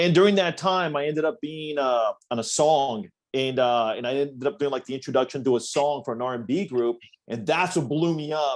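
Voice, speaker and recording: A fairly high-pitched man with a Spanish accent, animated in tone, with lively intonation at a fairly quick pace. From Sonora, Mexico. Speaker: radio host. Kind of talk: casual chat.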